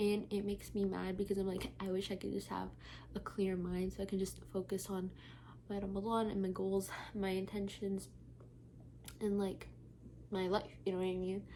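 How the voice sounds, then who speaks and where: A woman whispers at a moderate pace. Her pauses are long and frequent. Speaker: lifestyle vlogger. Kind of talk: casual vlog monologue. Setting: at home at night. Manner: whispering.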